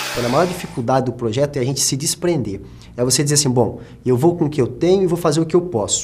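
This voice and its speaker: Over background music, a man with a fairly high voice talks very fast, his pitch varying in an ordinary way. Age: 20s. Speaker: journalist and actor. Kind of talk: documentary interview. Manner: halting.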